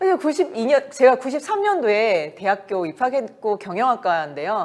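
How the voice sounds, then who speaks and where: At a moderate pace, a woman with vocal fry talks in an animated tone at a fairly high pitch, her voice making very wide pitch swings. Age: 50s. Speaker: network marketing business leader. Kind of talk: motivational business talk. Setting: meeting.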